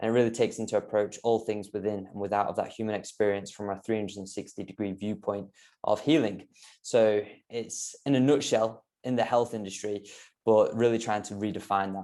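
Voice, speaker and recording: A man with a British accent speaks fairly quickly in a dark, mellow tone at a fairly low pitch. His intonation stays fairly even over a quiet background. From UK. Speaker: health coach. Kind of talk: podcast interview. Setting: podcast.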